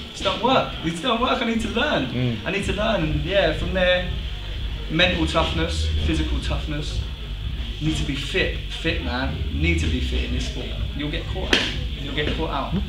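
Moderate-paced male speech against loud background noise. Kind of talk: interview answer. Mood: relaxed, proud, laughing. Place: gym. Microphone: camera far.

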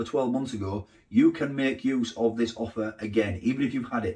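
The speaker is a man with a Yorkshire accent. The background is quiet. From northern England. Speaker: food vlogger. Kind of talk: casual vlog narration; sponsor read. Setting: inside a busy pie shop; outdoors in the rain. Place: kitchen.

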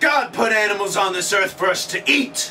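A man speaks in a raised, projected voice with light background noise behind him. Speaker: comedy sketch character host. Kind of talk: scripted comedic presentation. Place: home room. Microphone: camera far.

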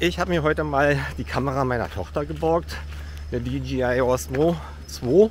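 With very wide pitch swings, a man talks at a fairly slow pace, the sound dry with no echo and light background noise behind him. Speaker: hiker vlogger. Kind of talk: casual vlog chat. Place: street. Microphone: phone near.

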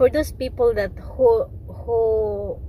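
A woman is heard in a dry sound with no echo and light background noise. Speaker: vlogger. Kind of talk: casual vlog chat. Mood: cheerful, smiling. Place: car. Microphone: phone near.

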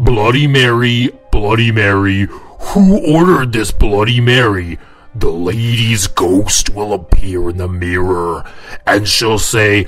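A man does a cartoonish character voice, fairly low in pitch and delivered at a fairly slow pace. Faint music plays in the background. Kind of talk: comic story narration to camera. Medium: puppet. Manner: jokey, casual.

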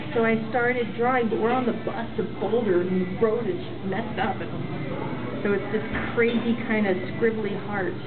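A woman talks at a moderate speed while clear music sounds behind her. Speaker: vlogger. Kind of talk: casual vlog chat. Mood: warm, animated. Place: hall. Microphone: webcam.

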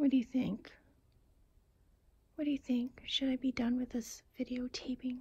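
A woman speaks at a high pitch with little pitch movement. Her tone is slightly mellow, with a husky, rough edge. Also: moderate pace.

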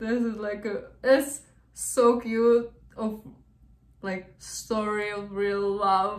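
With fairly even intonation, a woman talks at a very slow pace amid audible room echo. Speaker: reaction video host. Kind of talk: casual reaction commentary. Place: home room. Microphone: earbuds.

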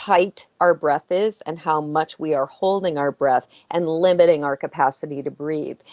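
A woman at a fairly low pitch and a fairly slow pace, with ordinary pitch variation against a quiet background. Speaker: guest. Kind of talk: interview answer. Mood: calm, explanatory. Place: home room. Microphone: video call.

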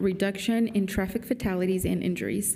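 Speaking at a very fast pace, a woman keeps a monotone, flat intonation. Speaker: council member. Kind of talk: formal proclamation reading. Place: hall. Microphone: podium.

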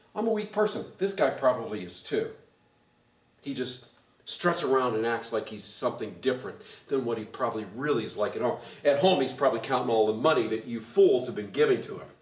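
Audible room echo surrounds a man speaking with lively intonation. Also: fairly quick pace. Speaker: pastor; pastor teaching Bible study. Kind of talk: bible study teaching. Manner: animated. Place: hall.

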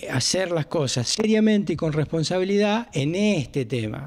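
A man speaks with lively intonation. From Argentina. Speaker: emergency service owner. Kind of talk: interview. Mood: frustrated, explaining. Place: office.

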